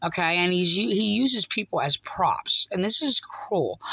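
Someone with an American accent speaks at a moderate pace in a dry recording with no echo. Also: woman. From New Jersey, US. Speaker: online religious commentator. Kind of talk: video commentary. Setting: home recording, replaying video clips. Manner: halting, many fillers. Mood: upset, critical. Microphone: phone near.

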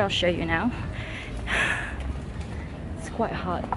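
Noticeable background noise sits under a woman's voice, and the sound is dry, with no echo. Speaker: vlogger. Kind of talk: casual vlog chat. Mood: amused, playful. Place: waterside. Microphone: phone near.

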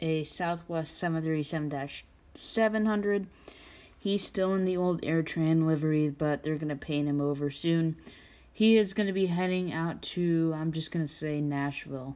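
A woman's dark, mellow tone at a fairly low pitch, moderate pace and ordinary pitch variation. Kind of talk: casual tour narration. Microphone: phone near.

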